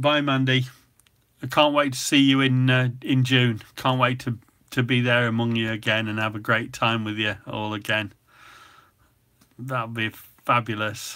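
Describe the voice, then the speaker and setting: A man with an English Midlands accent, bright and sharp in tone, at medium pitch and a moderate pace, with monotone, flat intonation and long, frequent pauses. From England, Nottingham. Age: 60s. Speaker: cooking channel host. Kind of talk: casual chat. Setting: live stream.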